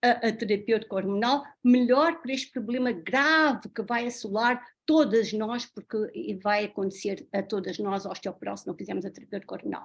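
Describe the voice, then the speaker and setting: A woman with a plain, everyday voice speaks at a moderate pace in a fairly high pitch, with ordinary pitch variation, on a very clean recording with a silent background. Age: 60s. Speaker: doctor. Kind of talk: talk.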